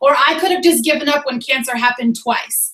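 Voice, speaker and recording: This woman talks at a very fast pace in a high pitch with an American accent and ordinary pitch variation. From Boston, Massachusetts. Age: 30s. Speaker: fitness coach. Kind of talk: motivational team call.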